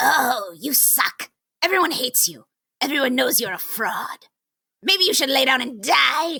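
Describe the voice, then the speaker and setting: A woman puts on a character voice in a high pitch. She speaks at a moderate pace. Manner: nasty, taunting.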